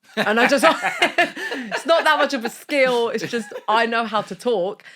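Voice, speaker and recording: A woman speaks in an animated, bright, sharp tone with very wide pitch swings. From Sicily, Italy; raised partly in UK. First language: Italian. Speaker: marketing agency founder. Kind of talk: podcast interview.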